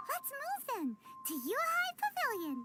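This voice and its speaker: In a put-on character voice that is squeaky and extremely high, the speaker moves at a moderate pace with very wide pitch swings as music plays behind. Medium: video game. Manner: casual, blunt.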